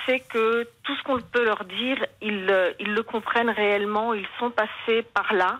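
A woman at a very slow pace. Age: 60s. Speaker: caller, mother of injured son. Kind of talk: testimony.

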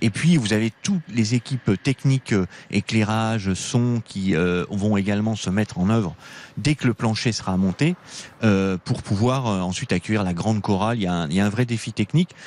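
The man has a fairly low voice with ordinary pitch variation, and the sound is dry and close with no echo. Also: moderate pace. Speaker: stadium director. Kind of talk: radio interview.

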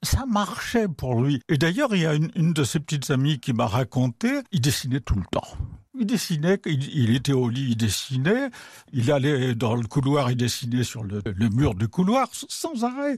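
Somewhat breathy and at a fairly slow pace, the voice makes very wide pitch swings, with a dry, close sound and no echo. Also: man, fairly high pitch for a man, very clean recording, silent background. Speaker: art critic and writer. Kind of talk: radio interview. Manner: conversational, hesitant with fillers.

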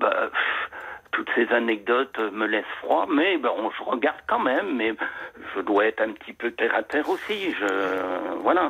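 Over noticeable background noise, a man speaks fairly slowly with very wide pitch swings. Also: medium pitch for a man. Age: 60s. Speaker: caller. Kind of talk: personal testimony on the phone. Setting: phone call.

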